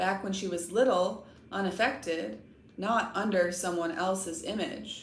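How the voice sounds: Someone reads in a natural voice.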